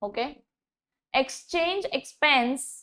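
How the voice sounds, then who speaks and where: Very slow, lively-toned woman's voice, high in pitch, on a very clean recording with a silent background. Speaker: tax exam tutor. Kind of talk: lecture.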